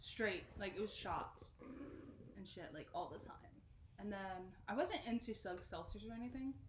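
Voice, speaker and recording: A woman with an American accent makes very wide pitch swings and big swings in loudness, leaving long, frequent pauses amid audible room echo. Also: medium pitch for a woman, moderate pace. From South Jersey. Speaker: podcast co-host. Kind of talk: casual chat.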